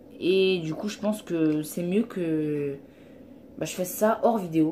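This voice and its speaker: A woman speaks in an animated tone over noticeable background noise. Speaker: gaming YouTuber. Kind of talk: let's play commentary.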